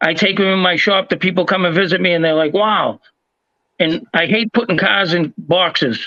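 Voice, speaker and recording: Here a man speaks with a high pitch and a bright, sharp tone. His intonation is fairly even. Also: moderate pace, very even loudness. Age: 60s. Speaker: diecast collector and channel host. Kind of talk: casual chat. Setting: live stream.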